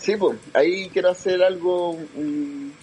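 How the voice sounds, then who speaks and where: A man's high-pitched voice is heard with noticeable background noise. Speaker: caller. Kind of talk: casual chat.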